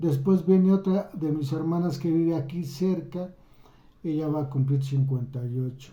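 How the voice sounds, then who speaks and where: A man talks at a moderate pace with a fairly high pitch. His pitch variation is ordinary. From Mexico. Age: 60s. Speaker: YouTuber. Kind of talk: personal storytelling. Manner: halting.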